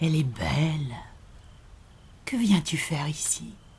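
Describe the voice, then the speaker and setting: This put-on character voice has a calm tone, a middle pitch and a fairly slow pace. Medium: audio drama. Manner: slow, calm, enigmatic.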